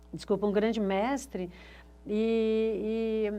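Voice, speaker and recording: Monotone, flat delivery from a woman at a fairly high pitch. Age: 60s. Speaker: photographer, university alumna. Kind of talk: interview testimony, reminiscing. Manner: casual, hesitant with fillers.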